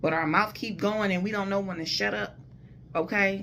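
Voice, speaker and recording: Audible room echo surrounds a loud woman's voice. Her intonation is lively. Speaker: vlogger giving relationship advice. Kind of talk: casual monologue.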